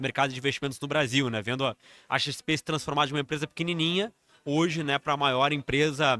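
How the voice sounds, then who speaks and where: In a very clean recording with a silent background, a man with a bright, sharp tone talks at a fairly quick pace with fairly even intonation. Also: dry, close sound with no echo. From southern Brazil, Rio Grande do Sul. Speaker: financial executive. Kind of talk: interview conversation. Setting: live event.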